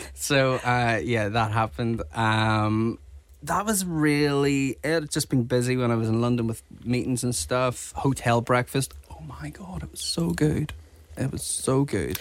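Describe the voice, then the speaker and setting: Lively intonation runs through a man's unremarkable speaking voice at medium pitch as he talks at a fairly slow pace. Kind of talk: casual chat.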